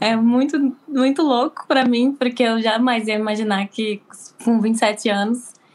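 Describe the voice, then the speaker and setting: A woman talks at a moderate pace. Her fairly high pitch shows ordinary variation. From Recife, raised in Porto Alegre, Brazil. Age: 20s. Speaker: beauty therapy student living abroad. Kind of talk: casual interview chat.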